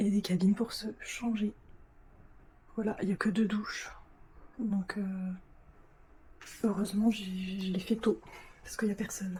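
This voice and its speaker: The woman's intonation is monotone and flat. She speaks at a fairly slow pace with long, frequent pauses. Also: medium pitch for a woman. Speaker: travel vlogger. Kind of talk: casual vlog. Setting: capsule hotel room. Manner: hesitant, many fillers; whispering.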